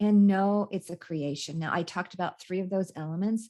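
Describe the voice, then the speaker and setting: A woman speaks with an American accent at a fairly low pitch. Her pace is moderate and her intonation fairly even. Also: quiet background. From California. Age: 60s. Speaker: life coach. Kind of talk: interview. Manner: halting.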